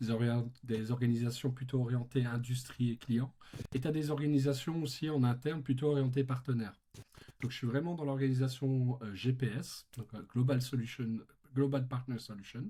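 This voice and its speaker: A man with a slight Belgian accent speaks at medium pitch and a moderate pace. His tone is dark, mellow and somewhat breathy, with fairly even intonation. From Belgium. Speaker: tech company partner manager. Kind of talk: podcast interview.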